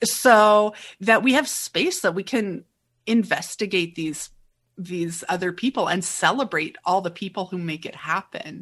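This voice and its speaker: A normal speaking voice at a fairly slow pace, with ordinary pitch variation against a quiet background. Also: woman, medium pitch for a woman. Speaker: podcast host and opera critic. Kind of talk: casual interview.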